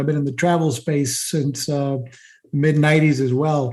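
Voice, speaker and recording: A man with a fairly high-pitched, unremarkable speaking voice. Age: 60s. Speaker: marketing entrepreneur. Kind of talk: interview.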